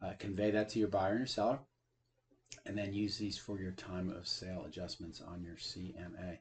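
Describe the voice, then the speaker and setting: This man has a fairly low pitch and a somewhat breathy sound, with ordinary pitch variation. The background is quiet. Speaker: real estate appraiser giving tutorial. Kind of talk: software tutorial. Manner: fast; many filler uh's.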